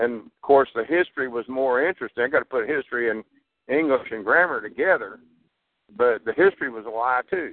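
Speaking in a Texan accent, a man at medium pitch moves at a fairly quick pace, with ordinary pitch variation and big swings in loudness. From Texas. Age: 60s. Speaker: caller. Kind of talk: casual chat. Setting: phone call.

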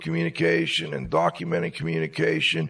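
Over noticeable background noise, a man's speech runs fairly quickly. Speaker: radio host. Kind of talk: casual chat. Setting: studio.

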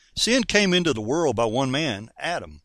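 A man speaks with a North Carolina accent and a bright, sharp tone. His pitch swings very widely. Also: very clean recording, silent background. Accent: Southern US (North Carolina). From US South, North Carolina. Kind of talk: sermon-style radio teaching. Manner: animated.

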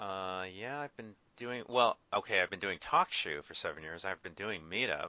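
A man with an American accent and an unremarkable speaking voice talks at a fairly low pitch and a moderate pace. His intonation is lively, and his loudness swings a lot. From Southern California (Orange County). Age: 40s. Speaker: podcast host and meetup organizer. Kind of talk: casual chat. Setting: Skype call.

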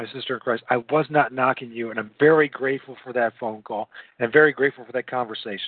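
Very fast speaking comes with pitch that moves in an ordinary way. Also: man. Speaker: podcast host. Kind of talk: live interview with prayer. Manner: halting, hesitant, filler words.

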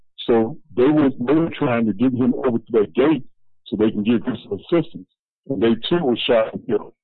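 At a medium pitch, a man talks with ordinary pitch variation. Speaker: activist. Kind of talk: panel discussion. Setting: phone call. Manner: halting.

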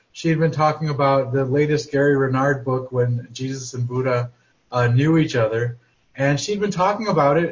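The voice is somewhat breathy, with ordinary variation in pitch. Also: man. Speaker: class participant.

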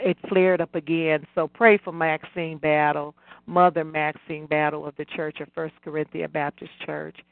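A woman's normal speaking voice, fairly low-pitched, with fairly even intonation at a moderate pace. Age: 60s. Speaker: caller. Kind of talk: testimony.

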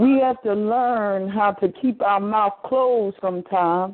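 In a Southern US accent, a woman speaks at a fairly slow pace in a medium pitch with ordinary pitch variation. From US South, eastern North Carolina. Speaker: minister. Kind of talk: sermon. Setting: phone conference line.

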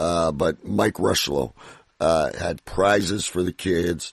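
Very deep and low with vocal fry, a man's voice shows ordinary pitch variation. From Canada. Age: 50s. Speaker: radio host. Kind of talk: interview. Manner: excitable; halting.

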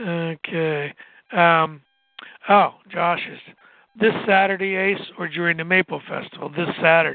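A man with an American accent speaks at a fairly slow pace in a high pitch, his intonation fairly even while his loudness swings a lot. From southwest Pennsylvania. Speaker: radio co-host, retired teacher. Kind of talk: casual chat.

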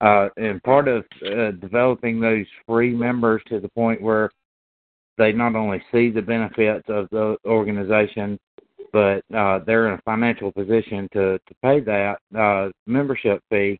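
With an American accent, a man talks at a moderate pace in a fairly low pitch, his intonation monotone and flat while his loudness swings widely. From Greenville Spartanburg, South Carolina. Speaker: power washing business owner.

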